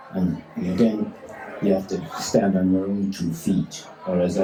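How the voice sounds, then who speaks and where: Noticeable background noise and audible room echo surround the speaker. He is a man with a Dublin accent and a fairly low pitch. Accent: Dublin Irish. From Ireland. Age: 80s+. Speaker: tailor and campaigner. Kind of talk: interview.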